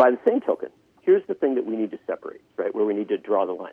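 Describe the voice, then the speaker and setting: A man is speaking. He has an Upper Midwest accent. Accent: Upper Midwest American. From Wisconsin, Union Grove. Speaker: political journalist. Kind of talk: political discussion.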